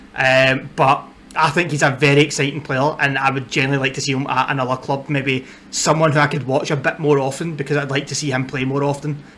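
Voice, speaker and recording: A man with a strong Scottish accent talks at a very fast pace in a fairly high pitch with a monotone, flat intonation. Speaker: football content creator. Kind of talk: casual vlog talk to camera. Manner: hesitant, many fillers.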